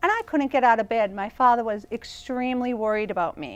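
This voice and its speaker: A woman with an American accent, ordinary pitch variation and a fairly quick pace. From Boston, Massachusetts, US. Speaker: evangelist and author. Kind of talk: talk show interview. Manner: animated.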